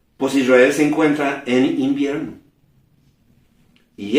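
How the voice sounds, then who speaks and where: Fairly slow speech from a man, in a room with audible echo. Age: 60s. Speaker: preacher. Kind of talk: sermon. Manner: halting.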